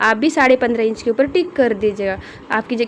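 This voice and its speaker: Noticeable background noise surrounds a voice with a non-native accent and ordinary pitch variation. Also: woman. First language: not Hindi (speaking Hindi). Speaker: tailoring teacher. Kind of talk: tutorial. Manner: halting.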